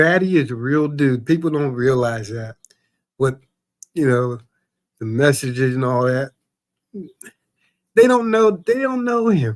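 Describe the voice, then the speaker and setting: Pausing long and often, a man with a fairly high pitch speaks at a fairly slow pace with lively intonation. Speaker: live stream chat participant, cancer survivor. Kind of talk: casual chat.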